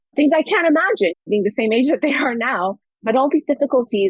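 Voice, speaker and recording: An ordinary speaking voice with an American accent moves at a fairly quick pace with lively intonation. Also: woman. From Afghanistan, France, London, then California from teens. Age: 30s. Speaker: anthropologist. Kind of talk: interview.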